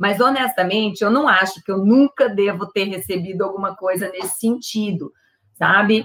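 A woman at a moderate pace and medium pitch, a normal speaking voice with ordinary pitch variation. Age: 50s. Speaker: engineer and diversity consultant. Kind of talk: interview.

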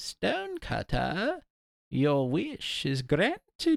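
At a very slow pace, the speaker performs in a put-on character voice. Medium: read story. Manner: gleeful, mischievous.

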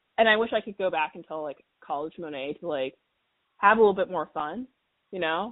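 A woman with an American accent speaks in a plain, everyday voice at a fairly low pitch. She moves at a fairly quick pace with big swings in loudness. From Washington, D.C. area. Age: 20s. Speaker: podcast guest. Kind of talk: casual chat.

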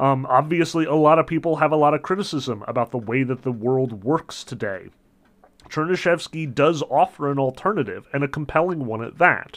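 A man's animated, fairly high voice at a fairly quick pace, with ordinary pitch variation. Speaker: literature lecturer. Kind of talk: lecture. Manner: casual, many filler words; opinionated, animated.

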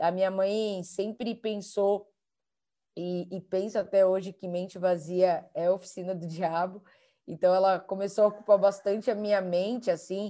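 A woman's dark, mellow voice, fairly slow and monotone with flat intonation. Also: medium pitch for a woman. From São Paulo, Brazil (Capão Redondo periphery). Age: 20s. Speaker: guest speaker. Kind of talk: interview.

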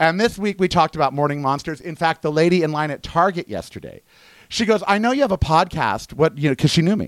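On a very clean recording with a silent background and a dry, close sound with no echo, a man with a high pitch and ordinary pitch variation talks at a very fast pace. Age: 50s. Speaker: podcast host. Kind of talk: solo monologue podcast. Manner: conversational, with frequent fillers.

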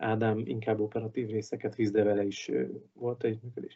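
The man's intonation is monotone and flat. He speaks at a medium pitch and a fairly quick pace. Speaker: ice hockey manager and referee. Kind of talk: casual interview. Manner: casual, hesitant.

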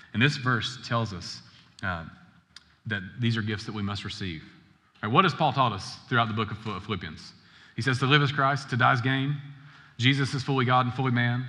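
Speaking at a very fast pace with long, frequent pauses, a man uses a bright, sharp tone and ordinary pitch variation amid audible room echo. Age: 30s. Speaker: pastor. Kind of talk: sermon. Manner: conversational.

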